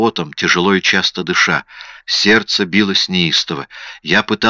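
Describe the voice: The clip consists of plain reading aloud.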